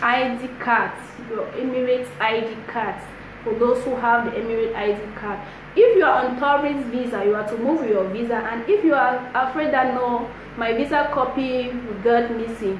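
A woman speaks at a moderate pace in a high voice with ordinary pitch variation, with audible room echo and light background noise. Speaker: vlogger. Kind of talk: casual vlog advice. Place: home room. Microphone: phone near.

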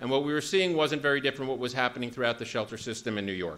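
A man's voice carries a bright, sharp tone with ordinary pitch variation. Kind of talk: conference talk. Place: hall. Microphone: podium.

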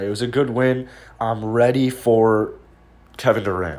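At a moderate pace comes a plain, everyday voice. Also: man. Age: 20s. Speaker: YouTube basketball commentator. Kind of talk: casual video commentary.

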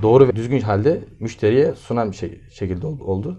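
Speaking at a moderate pace, a man has a dark, mellow tone and ordinary pitch variation. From Turkey. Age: 20s. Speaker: agricultural engineer and farm supply dealer. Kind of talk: interview. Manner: hesitant, many filler sounds. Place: office. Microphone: camera far.

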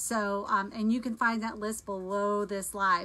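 A woman speaks with fairly even intonation. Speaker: home cooking product seller. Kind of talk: live stream product demo chat. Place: kitchen. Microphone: phone near.

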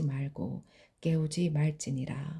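A dark, mellow, somewhat breathy tone with monotone, flat intonation at a very slow pace. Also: woman. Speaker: Bible reader. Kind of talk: reading aloud.

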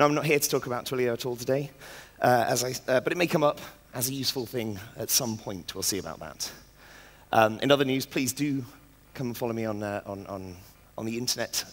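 A man speaks at a very fast pace with ordinary pitch variation. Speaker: conference speaker. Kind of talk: lecture. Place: stage. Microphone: headset.

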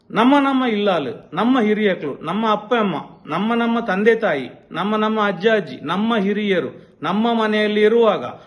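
A man's high-pitched voice with ordinary pitch variation, amid audible room echo and noticeable background noise. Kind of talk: video statement responding to criticism. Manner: forceful.

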